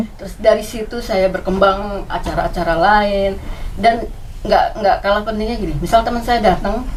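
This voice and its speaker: Moderate pace, ordinary pitch variation and big swings in loudness, with noticeable background noise and audible room echo. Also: woman, fairly high pitch for a woman. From Jakarta. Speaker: community volunteer. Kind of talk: interview.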